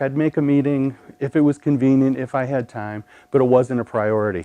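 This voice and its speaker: Speaking with a Midwestern accent, a man uses a medium pitch and ordinary pitch variation at a moderate pace. His tone is dark and mellow. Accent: Midwest. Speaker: storyteller, pharmacist. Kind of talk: storytelling performance.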